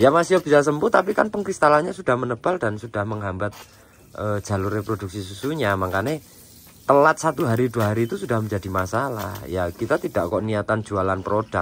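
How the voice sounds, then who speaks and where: Here a man talks at a very fast pace and a medium pitch. His intonation is lively. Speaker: goat breeder. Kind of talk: farm tutorial. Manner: hesitant, many fillers.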